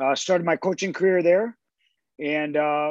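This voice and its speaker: Against a quiet background, a man speaks in a plain, everyday voice at a fairly high pitch with ordinary pitch variation. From Canada, London, Ontario. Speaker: college soccer coach. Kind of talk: casual interview.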